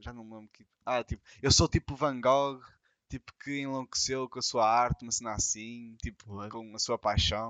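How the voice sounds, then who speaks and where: Here a man speaks at a fairly slow pace. His intonation stays monotone and flat. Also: big swings in loudness. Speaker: podcast co-host. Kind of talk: casual chat.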